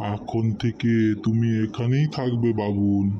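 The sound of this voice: Clear background noise sits behind a man's speech. He uses a cartoonish character voice at medium pitch.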